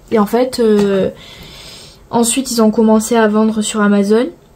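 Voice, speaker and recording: This woman speaks in a southern French accent at a fairly high pitch. Her intonation stays monotone and flat. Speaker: coloring vlogger. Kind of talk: casual chat. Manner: hesitant, filler-heavy.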